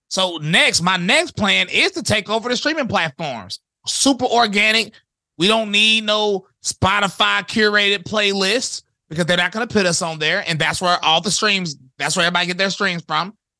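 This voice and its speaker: A man with an American accent uses a raised, projected voice, high in pitch, with a bright, sharp tone and lively intonation. He keeps a moderate pace, and the sound is dry and close with no echo. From US South, High Point, North Carolina. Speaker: rapper. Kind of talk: casual chat.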